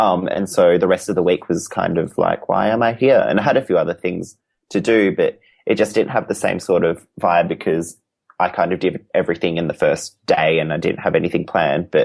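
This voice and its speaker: Speaking with an Australian accent, a man keeps up a fairly quick pace. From Western Australia, Perth. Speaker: crochet artist. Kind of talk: casual interview chat. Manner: halting, many fillers.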